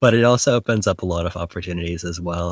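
A man speaks with a very deep, low pitch. The recording is very clean, silent behind him, with a dry, close sound with no echo. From Canada. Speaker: startup co-founder. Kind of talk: casual interview.

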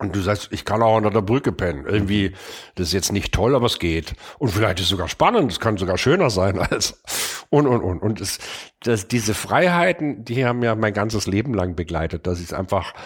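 A man with a fairly low voice talks at a fairly quick clip. His pitch varies in an ordinary way, and it's an unremarkable speaking voice. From Stuttgart, southwestern Germany. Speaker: furniture designer and manufacturer. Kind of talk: casual interview conversation. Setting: in person at an old country house office.

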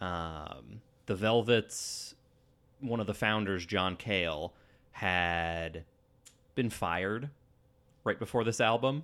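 Long, frequent pauses break up a man's very slow speech. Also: fairly low pitch for a man, ordinary pitch variation, very clean recording, silent background. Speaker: podcast co-host. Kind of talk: casual chat. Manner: soft-spoken.

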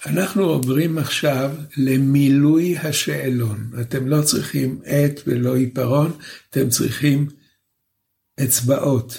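Speaking at a very slow pace, a man with a fairly high pitch has a dark, mellow tone, a somewhat breathy quality and very even loudness. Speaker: professor, lecturer. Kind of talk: lecture. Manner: slow, deliberate.

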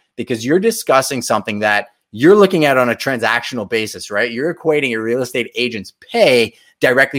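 A plain, everyday voice: a man at a medium pitch and fairly quick pace, in a very clean recording with a silent background and a dry, close sound with no echo. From Montreal, Quebec, Canada. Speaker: realtor and show host. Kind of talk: live-stream reaction commentary. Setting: live stream. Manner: casual, conversational.

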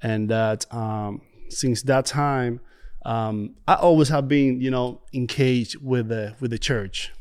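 A man of medium pitch talks at a fairly slow pace with ordinary pitch variation in a very clean recording with a silent background. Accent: Spanish. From Dominican Republic. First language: Spanish. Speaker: church prayer ministry leader. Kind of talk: interview testimony. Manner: halting, many fillers.

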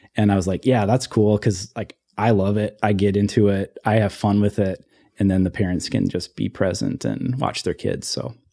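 Dry and close with no echo, a man's dark, mellow voice sits at a fairly low pitch, moving at a moderate pace with fairly even intonation. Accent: Upper Midwest. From Ely, northern Minnesota. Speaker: photographer. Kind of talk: casual chat.

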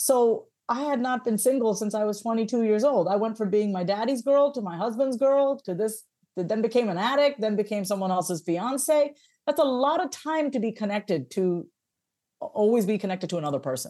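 Fairly high pitch from a woman in an American accent, dark, mellow tone, lively intonation, fairly quick pace. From US, Long Island, New York. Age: 40s. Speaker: therapist, mindset coach and author. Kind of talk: casual interview chat. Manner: animated.

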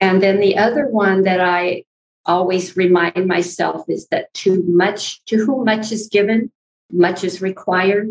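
A woman with an American accent and a medium pitch uses a normal speaking voice, talking at a fairly slow pace with fairly even intonation. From Northern California, Mendocino County. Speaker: author and former counselor. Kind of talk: interview, personal testimony.

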